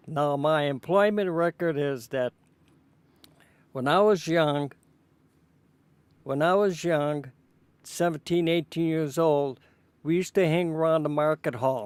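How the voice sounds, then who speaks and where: The man's voice sits fairly high and moves at a fairly slow pace, with long, frequent pauses. The sound is dry and close, with no echo. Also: ordinary pitch variation. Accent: Chicago. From Chicago, Illinois (Pullman). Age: 80s+. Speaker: interviewee recounting family history. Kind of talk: oral history interview. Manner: halting.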